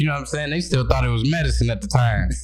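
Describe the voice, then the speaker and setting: A man speaks with an American accent. Noticeable background noise and audible room echo surround him. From Michigan, Battle Creek. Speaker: comedian. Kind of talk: casual chat. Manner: laid-back.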